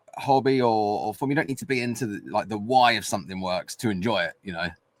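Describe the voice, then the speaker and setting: A man's medium-pitched voice with a southern English accent, ordinary pitch variation and a very fast pace. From southern England, Winchester. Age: 30s. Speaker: music producer. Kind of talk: interview.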